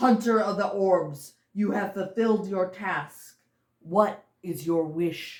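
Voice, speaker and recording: The speaker puts on a character voice. It sits at a middle pitch and goes fairly slowly. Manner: genderless, otherworldly.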